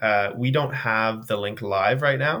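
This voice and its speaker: Bright and sharp, a man's voice carries a Canadian Maritime accent. He speaks fairly slowly with ordinary pitch variation. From Canada, Nova Scotia. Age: 20s. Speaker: personal trainer and endurance athlete. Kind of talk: casual interview chat.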